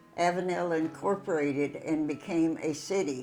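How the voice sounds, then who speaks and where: Over music in the background, a woman with a fairly low voice talks at a fairly slow pace with fairly even intonation. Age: 80s+. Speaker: local resident storyteller. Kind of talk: documentary narration of local history.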